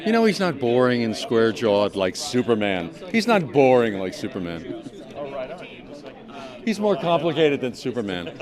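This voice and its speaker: A man at medium pitch talks at a moderate pace, pitch swinging very widely, with long, frequent pauses. Noticeable background noise runs underneath. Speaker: voice actor. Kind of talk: interview answer.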